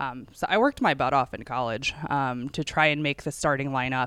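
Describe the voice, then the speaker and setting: A woman with an American accent, very deep and low in pitch, with ordinary pitch variation at a moderate pace on a very clean recording with a silent background. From Northern Virginia. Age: 30s. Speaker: amateur golfer. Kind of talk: interview.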